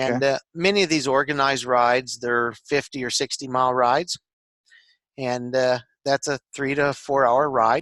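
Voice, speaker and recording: A man with an American accent talks at a moderate pace and medium pitch, his bright, sharp tone and fairly even intonation captured in a dry, close sound with no echo on a very clean recording with a silent background. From Michigan, USA. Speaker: small business owner. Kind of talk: casual podcast conversation.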